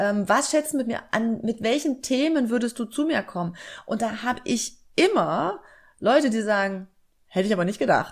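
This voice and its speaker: Against a silent background in a very clean recording, a woman with an unremarkable speaking voice and fairly high pitch talks at a moderate pace with lively intonation. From southern Germany, Lake Constance. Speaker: job application coach. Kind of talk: interview.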